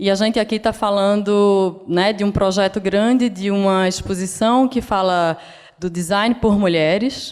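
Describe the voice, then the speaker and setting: At a fairly slow pace, a woman speaks at a medium pitch with very even loudness. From Brazil, Northeast (Pernambuco). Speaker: designer. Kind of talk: lecture. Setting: stage with audience.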